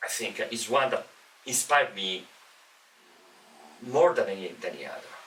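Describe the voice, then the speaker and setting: A man speaks with an Italian accent at a moderate pace, leaving long, frequent pauses. Noticeable background noise runs beneath him. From Italy. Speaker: professor. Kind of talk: casual chat. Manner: halting.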